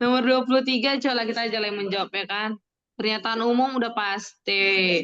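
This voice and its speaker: Speaking at a fairly quick pace, a woman uses a fairly high voice. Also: fairly even intonation. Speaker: tutor teaching an online test-prep class. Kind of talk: online class, casual teaching with students.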